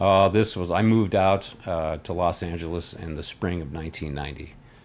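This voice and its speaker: Very deep and low in pitch, a man talks at a fairly quick pace with an American accent. His intonation is fairly even. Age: 60s. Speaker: musician. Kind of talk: casual chat.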